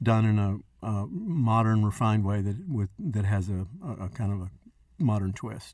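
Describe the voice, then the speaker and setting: A normal speaking voice with ordinary pitch variation comes through in a very clean recording with a silent background. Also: man. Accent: American. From Texas. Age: 60s. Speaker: chef. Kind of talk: casual chat.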